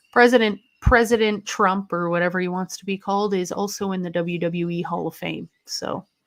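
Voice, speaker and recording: A woman with a Canadian accent and a plain, everyday voice speaks at a moderate pace and medium pitch, with fairly even intonation, big swings in loudness and hardly any pauses. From Canada. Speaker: wrestling livestreamer. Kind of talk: casual live-stream commentary reading chat. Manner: casual, chatty.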